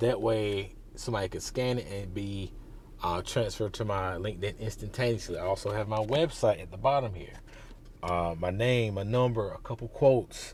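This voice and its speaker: A man speaks with a fairly low pitch and ordinary pitch variation. His voice is somewhat breathy. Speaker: career advice vlogger. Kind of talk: casual vlog. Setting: outdoors walking into a job fair.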